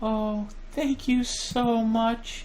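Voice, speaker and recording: A put-on character voice with a fairly high pitch comes through over clear background noise. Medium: game stream. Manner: pleading.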